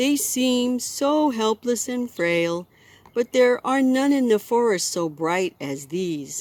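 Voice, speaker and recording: A woman performs a put-on character voice. It is high-pitched and fairly slow. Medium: read story.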